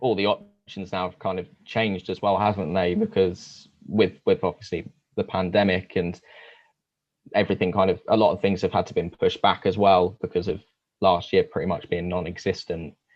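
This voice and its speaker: Speaking with a London accent at a fairly quick pace, a man with a fairly low pitch shows big swings in loudness. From London area. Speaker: theme park enthusiast interviewer. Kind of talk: podcast interview.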